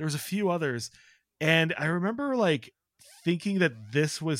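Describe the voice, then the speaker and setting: The speaker has an ordinary speaking voice with an American accent. Their intonation is lively. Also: man. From Chicago, US Midwest. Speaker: writer. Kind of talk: casual chat.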